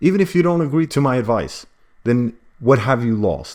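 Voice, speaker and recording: This man speaks with a non-native accent. His tone is dark and mellow. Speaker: self-publishing business coach. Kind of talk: tutorial. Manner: animated.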